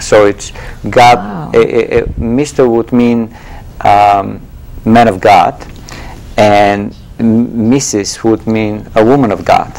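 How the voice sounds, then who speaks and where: A man with a Bulgarian accent talks very slowly at a medium pitch, with fairly even intonation and long, frequent pauses. Noticeable background noise is present. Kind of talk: interview answer.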